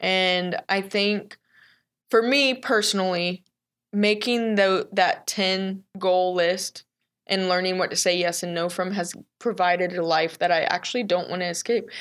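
A woman speaks in a normal speaking voice with an American accent, at a medium pitch and a fairly slow pace. Her intonation stays fairly even, and the recording is very clean with a silent background. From Texas. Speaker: business owner in addiction recovery. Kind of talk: interview.

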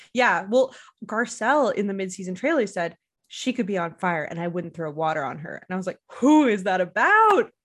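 In a Canadian accent, a woman with a plain, everyday voice speaks at a moderate pace and medium pitch. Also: lively intonation. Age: 30s. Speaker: podcast host. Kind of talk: casual chat.

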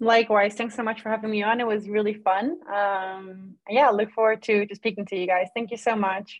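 In a Dutch accent, a woman speaks at medium pitch with fairly even intonation and hardly any pauses. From Netherlands. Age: 20s. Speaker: sports lawyer. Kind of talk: casual interview.

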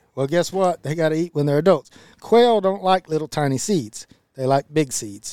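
With a Texan accent, a man speaks at a moderate pace in a fairly high pitch with lively intonation, in a dry, close sound with no echo. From Central Texas. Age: 40s. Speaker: podcast co-host, land and wildlife manager. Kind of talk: casual chat.

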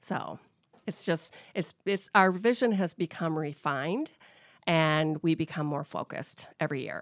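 In a dry, close sound with no echo on a very clean recording with a silent background, a woman with an American accent speaks in an unremarkable speaking voice at a fairly low pitch, with ordinary pitch variation and a fairly slow pace. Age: 50s. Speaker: business owner. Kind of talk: interview. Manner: casual, conversational.

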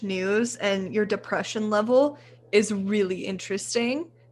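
A woman with an American accent and a plain, everyday voice, fairly high in pitch, at a moderate pace with ordinary pitch variation. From Texas. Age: 20s. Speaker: photographer and women's health advocate. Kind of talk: casual chat.

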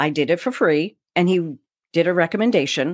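Lively in intonation, a woman with a plain, everyday voice speaks at a fairly low pitch, the sound dry and close with no echo in a very clean recording with a silent background. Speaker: broadcast voice coach. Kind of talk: interview.

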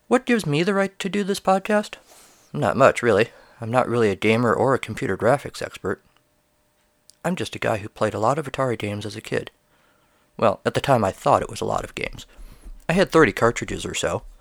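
Talking at a very fast pace with long, frequent pauses, a man of medium pitch makes very wide pitch swings, recorded very cleanly with a silent background and a dry, close sound with no echo. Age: 40s. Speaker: podcast host and writer. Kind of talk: scripted narration.

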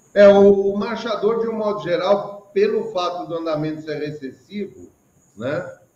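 A man speaks at a fairly slow pace with a high pitch. His loudness swings widely. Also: ordinary pitch variation. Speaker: online show host. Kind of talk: casual chat. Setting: video call.

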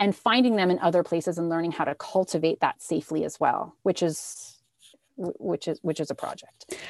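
An ordinary speaking voice from a woman, fairly low in pitch with ordinary pitch variation, at a fairly quick pace, dry and close with no echo. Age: 40s. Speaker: health and body image coach. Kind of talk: casual interview.

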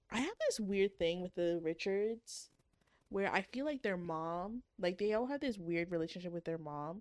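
At a moderate pace, a woman talks with lively intonation in an ordinary speaking voice, the sound dry and close with no echo. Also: medium pitch for a woman. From Canada. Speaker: podcast co-host. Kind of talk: casual banter podcast chat reviewing books.

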